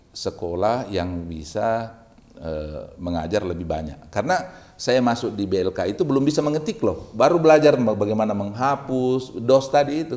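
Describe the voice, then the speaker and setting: Moving at a moderate pace, a man speaks at a medium pitch with very wide pitch swings. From Makassar, South Sulawesi, Indonesia. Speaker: university rector. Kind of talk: casual interview chat. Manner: halting.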